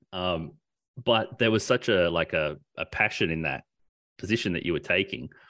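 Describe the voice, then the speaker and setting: With an Australian accent, a man with a very deep, low pitch and a bright, sharp tone speaks at a moderate pace. His pitch variation is ordinary, and he leaves long, frequent pauses. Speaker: podcast host. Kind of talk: casual chat.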